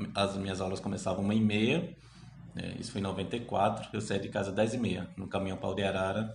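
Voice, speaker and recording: In a room with audible echo, a man talks at a moderate pace with a fairly low pitch and fairly even intonation. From Brazil, Sergipe (Itabaiana, rural). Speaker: history researcher. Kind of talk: interview.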